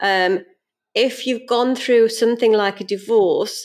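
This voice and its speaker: A woman with a British accent speaks at a fairly slow pace in a fairly high pitch. The recording is very clean, with a silent background. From UK. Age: 50s. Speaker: financial adviser and business owner. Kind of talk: interview.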